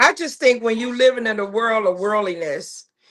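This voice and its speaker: A plain, everyday voice from a woman, ordinary pitch variation throughout. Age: 60s. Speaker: podcast co-host. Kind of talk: casual chat.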